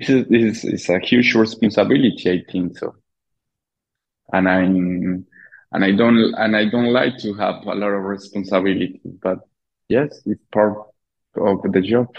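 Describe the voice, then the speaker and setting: A fairly slow delivery with a non-native accent, fairly even intonation and long, frequent pauses. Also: man, fairly low pitch for a man. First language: Spanish. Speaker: filmmaker. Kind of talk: interview. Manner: halting.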